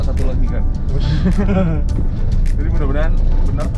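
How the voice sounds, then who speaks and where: A man is speaking. Loud music plays behind him. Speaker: car vlogger. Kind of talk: casual vlog chat. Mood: relaxed, joking, laughing. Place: car. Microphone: lapel.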